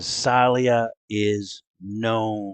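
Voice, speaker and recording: Putting on a character voice, a man speaks at a medium pitch in a monotone, flat way. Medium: actual play.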